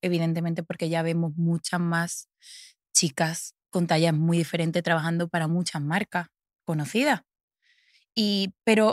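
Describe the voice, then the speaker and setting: A woman's fairly low voice in an Andalusian accent, fairly slow, dry and close with no echo, on a very clean recording with a silent background. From Andalusia, Seville province (Los Palacios y Villafranca). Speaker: fashion model. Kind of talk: interview conversation.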